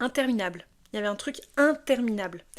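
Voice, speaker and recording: Speaking at a fairly quick clip, a woman with a high voice sounds animated, her pitch moving in an ordinary way over a very clean, silent background. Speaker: tarot card reader. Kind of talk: tarot reading.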